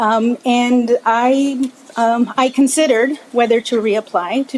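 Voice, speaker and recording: With a Spanish accent, a woman speaks in fairly even intonation amid noticeable background noise. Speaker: commission applicant. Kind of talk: interview at public meeting. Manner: halting.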